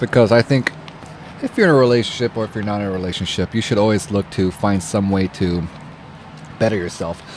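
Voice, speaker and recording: Over noticeable background noise, a man with a fairly low pitch speaks at a fairly quick pace in fairly even intonation, leaving long, frequent pauses. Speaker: podcast co-host. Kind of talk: casual chat.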